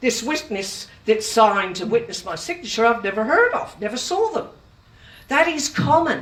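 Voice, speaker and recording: A woman with an Australian accent, fairly high pitch, very wide pitch swings and a moderate pace. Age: 70s. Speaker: consumer advocate. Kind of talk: public talk. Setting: room with audience.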